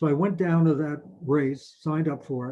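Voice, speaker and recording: A man speaks at a fairly high pitch with a New York accent. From New York, Mount Vernon. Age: 80s+. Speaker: retired marathon runner. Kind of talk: personal storytelling interview.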